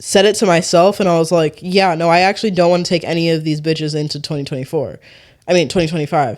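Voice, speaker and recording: There is no sound at all behind the voice in this very clean recording. The speaker's tone is animated. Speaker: podcast host. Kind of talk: casual solo podcast monologue. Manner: casual, animated, filler-heavy.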